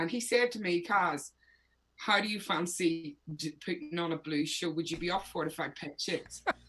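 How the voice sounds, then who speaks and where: In a Northern Irish accent, a woman speaks at a moderate pace with a fairly low pitch and ordinary pitch variation. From Northern Ireland. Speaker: singer-songwriter. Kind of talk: interview.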